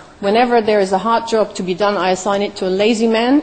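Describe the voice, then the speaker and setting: Fairly quick speech from a woman amid noticeable background noise. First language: not English. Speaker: startup founder, conference speaker. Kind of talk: conference talk.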